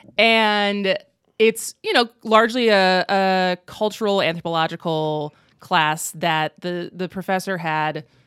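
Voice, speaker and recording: Using a plain, everyday voice, a woman with an American accent speaks at a fairly slow pace and medium pitch with ordinary pitch variation, in a very clean recording with a silent background and a dry, close sound with no echo. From Wisconsin, US Midwest. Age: 30s. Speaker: comedian and actress. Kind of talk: casual chat. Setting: studio.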